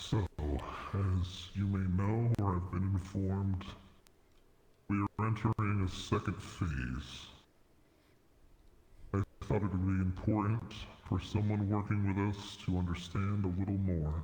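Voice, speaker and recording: A man's put-on character voice, fairly low-pitched and fairly slow, with long, frequent pauses and a clear echo. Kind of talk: dark fantasy roleplay. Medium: machinima. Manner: formal, measured.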